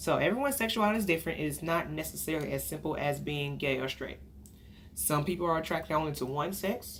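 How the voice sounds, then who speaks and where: A woman with an American accent talks at a very fast pace, her voice carrying an audible room echo. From Texas, Dallas. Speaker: counselor. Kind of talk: lecture.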